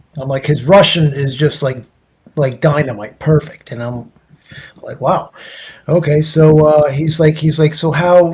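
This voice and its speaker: A man with an American accent speaks in a somewhat breathy voice at a fairly slow pace. His intonation is fairly even, with long, frequent pauses and big swings in loudness. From US Northeast, New York (Nyack). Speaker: guest on interview show. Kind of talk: casual storytelling interview. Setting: livestream. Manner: repetitive, halting false starts.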